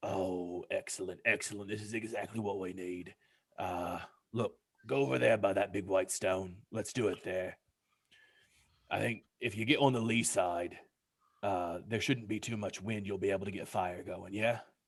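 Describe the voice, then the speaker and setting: In a put-on character voice, a man talks at a moderate pace, raspy and fairly low in pitch. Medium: actual play. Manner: casual, encouraging, quick.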